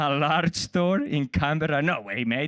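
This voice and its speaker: A man speaks at a high pitch. The recording is very clean with a silent background and a dry, close sound with no echo. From Spain. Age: middle-aged. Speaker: comedian. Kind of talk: stand-up.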